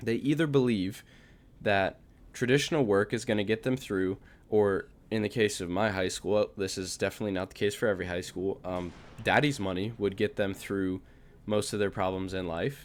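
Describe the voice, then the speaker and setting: Here is a plain, everyday voice from a man with a fairly low pitch and ordinary pitch variation. He keeps a moderate pace on a very clean recording with a silent background. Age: 18. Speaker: vlogger. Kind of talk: casual monologue. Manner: casual, filler-heavy.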